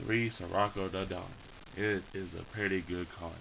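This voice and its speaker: In a room with audible echo, a man with a very deep, low voice speaks at a moderate pace with ordinary pitch variation. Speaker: card game hobbyist showing his deck. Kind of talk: casual deck showcase. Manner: halting with repetitions.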